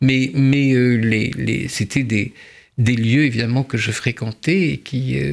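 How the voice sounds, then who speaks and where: At a very slow pace, a man talks in a medium pitch, his intonation fairly even. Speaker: writer and translator. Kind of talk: interview; reading aloud. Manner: halting.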